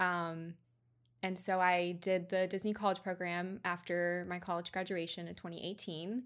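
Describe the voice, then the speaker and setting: A woman with an American accent, medium pitch and monotone, flat intonation, at a moderate pace, in a very clean recording with a silent background. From Georgia, US. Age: 20s. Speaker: photographer. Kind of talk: casual interview.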